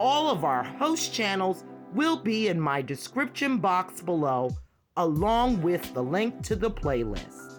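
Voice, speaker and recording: Music plays behind a very slow speaker with an American accent. The pitch swings very widely while the loudness stays very even. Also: woman. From Brooklyn, New York. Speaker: retired nurse. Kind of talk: casual talk to camera.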